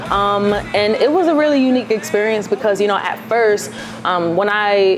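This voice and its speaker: A woman speaks in a New York accent at a medium pitch and moderate pace, with ordinary pitch variation. Her loudness stays very even over noticeable background noise. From New York City, Queens. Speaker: singer-songwriter. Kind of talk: interview.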